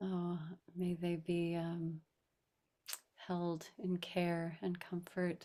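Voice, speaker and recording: A woman speaks very slowly at a fairly low pitch, her gentle, dark, mellow tone held in a monotone, flat intonation. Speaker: rabbi and meditation teacher. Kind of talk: guided meditation discussion. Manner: gentle, slow.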